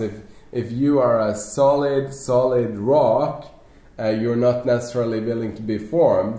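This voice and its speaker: With a Norwegian accent, a man speaks at a moderate pace in a medium pitch. His intonation is fairly even, and audible room echo surrounds him. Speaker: network marketing leader. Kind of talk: panel discussion.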